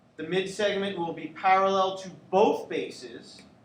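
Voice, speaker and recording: A man speaks at a very slow pace in a high pitch. Audible room echo and noticeable background noise surround him. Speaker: geometry teacher. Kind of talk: classroom lecture.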